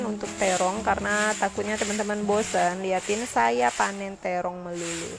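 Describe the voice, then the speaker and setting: Over music in the background, a woman speaks at a moderate pace with a medium pitch. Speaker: cooking and home vlogger. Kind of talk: vlog voiceover narration. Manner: casual, friendly, with filler 'eh'.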